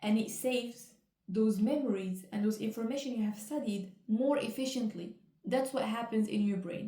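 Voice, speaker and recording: At a moderate pace, a woman with a non-native accent speaks in a fairly high, somewhat breathy voice with a dark, mellow tone and ordinary pitch variation. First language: not English. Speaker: educational video creator. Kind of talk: casual explainer while painting. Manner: casual, slightly halting.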